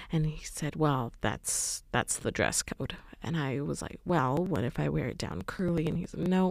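A woman with a Canadian accent, very deep and low in pitch, with vocal fry, lively intonation, a moderate pace and hardly any pauses. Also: very clean recording, silent background. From western Canada. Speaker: podcast host. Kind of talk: solo podcast monologue, personal storytelling.

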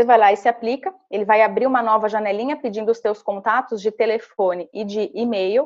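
Her voice is an unremarkable speaking voice, fairly high in pitch, and the woman talks at a fairly quick pace. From Santa Catarina, Brazil (small interior town). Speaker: tech company relationship manager, former recruiter. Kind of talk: interview, career advice tutorial.

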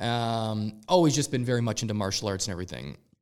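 A man at a medium pitch, very fast pace and ordinary pitch variation, in a very clean recording with a silent background. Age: 30s. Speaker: realtor. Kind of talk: casual chat.

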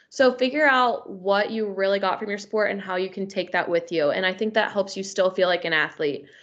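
Over a quiet background, a woman with an American accent and a normal speaking voice talks at a moderate pace and medium pitch with ordinary pitch variation. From US, Northern Kentucky. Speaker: graduate student and former athlete. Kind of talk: interview conversation.

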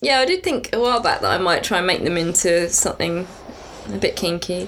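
A woman at a fairly quick pace, amid noticeable background noise. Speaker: podcast co-host, writer. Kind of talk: casual chat.

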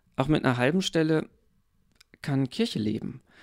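This man's voice sits fairly high, with ordinary pitch variation and a dry, close sound that has no echo. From eastern Germany. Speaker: pastor. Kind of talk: casual interview.

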